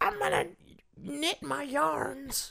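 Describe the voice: A put-on character voice. It sits at a middle pitch.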